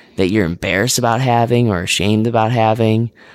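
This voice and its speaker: A man talks at a fairly quick pace in a fairly low pitch, an ordinary speaking voice. The recording is very clean, with a silent background. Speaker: podcast host. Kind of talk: casual interview with scripted intro.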